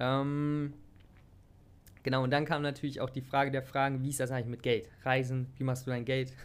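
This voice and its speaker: A man's medium-pitched voice in a monotone, flat delivery, with long, frequent pauses. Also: moderate pace. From Germany, Hanover area. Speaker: health and fitness podcaster. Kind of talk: casual personal monologue. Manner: relaxed, casual.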